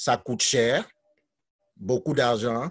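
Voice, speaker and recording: A man at a very slow pace, ordinary pitch variation, quiet background. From Cameroon. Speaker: teacher. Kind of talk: testimony. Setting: video call. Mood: earnest, reflective. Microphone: video call.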